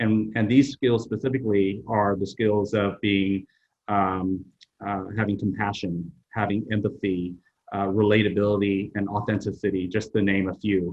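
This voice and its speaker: This man talks with a Vietnamese accent at a fairly low pitch. His pace is moderate and his intonation fairly even. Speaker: HR executive. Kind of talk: interview. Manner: halting, many fillers.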